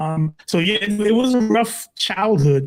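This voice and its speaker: Lively intonation carries this voice with a New York accent. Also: man. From Brooklyn, New York. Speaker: pastor. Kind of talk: testimony. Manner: halting.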